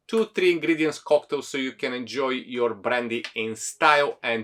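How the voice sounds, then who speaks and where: Music is heard in the background. Over it, a man talks at a moderate pace. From Bulgaria. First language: Bulgarian. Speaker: bartender, cocktail video host. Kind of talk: tutorial.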